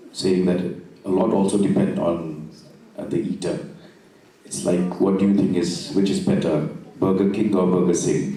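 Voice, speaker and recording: Voice with a northeastern Indian accent, with noticeable background noise and audible room echo. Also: man. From Meghalaya, northeast India (Khasi). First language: Khasi. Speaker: poet on literary festival panel. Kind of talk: panel discussion.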